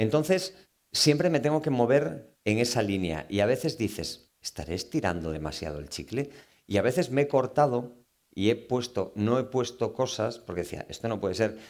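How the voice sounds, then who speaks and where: In a Galician accent, a man speaks at a moderate pace with vocal fry and very wide pitch swings. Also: medium pitch for a man. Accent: Galician Spanish accent coming out. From Galicia, Spain. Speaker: novelist. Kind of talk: book talk Q&A with audience. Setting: live event with audience. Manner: animated.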